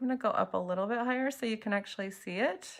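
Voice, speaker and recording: Her pitch fairly high with ordinary variation, a woman speaks at a fairly quick pace. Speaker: makeup vlogger. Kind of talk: makeup tutorial livestream. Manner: fast; casual, chatty.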